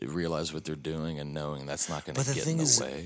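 Here is a man with a Texan accent. His pitch is very deep and low. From Texas. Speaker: podcast guest, music touring crew member.

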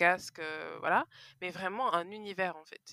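With a bright, sharp tone, a woman at medium pitch speaks with ordinary pitch variation in a very clean recording with a silent background and a dry, close sound with no echo. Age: 20s. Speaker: podcaster. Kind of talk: casual chat.

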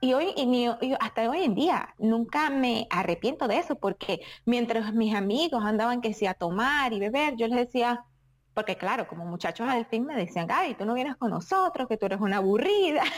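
A woman speaks at a high pitch and a moderate pace, with very wide pitch swings. The recording is very clean, with a silent background. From Venezuela. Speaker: champion sport shooter. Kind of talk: interview.

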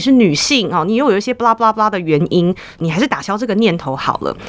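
Over noticeable background noise, a woman with a Taiwanese accent talks with very wide pitch swings. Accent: Taiwanese Mandarin. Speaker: counseling psychologist. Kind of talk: interview.

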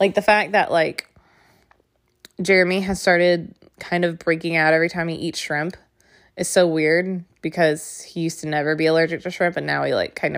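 On a very clean recording with a silent background, the words come at a fairly quick pace. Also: woman. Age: 20s. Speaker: podcast host. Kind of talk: casual monologue. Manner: animated.

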